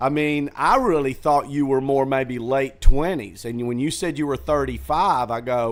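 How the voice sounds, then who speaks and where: A man talks at a moderate pace with hardly any pauses. He has a normal speaking voice of medium pitch with ordinary pitch variation. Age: 60s. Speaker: comedy club owner and comedian. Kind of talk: casual chat. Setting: green room of a comedy theater.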